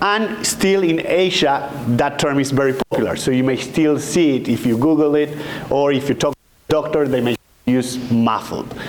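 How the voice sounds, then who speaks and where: A man with an Argentine accent, fairly high-pitched, at a moderate pace, with ordinary pitch variation and very even loudness, plus audible room echo and noticeable background noise. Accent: Argentinian. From Argentina. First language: Spanish. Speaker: physician, endocrinologist. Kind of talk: lecture.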